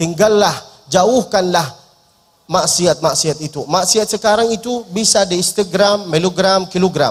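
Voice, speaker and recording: A man speaks with an Arabic accent at a high pitch. His tone is animated. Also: ordinary pitch variation. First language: Arabic (speaking Indonesian). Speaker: preacher. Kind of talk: sermon. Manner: humorous, animated.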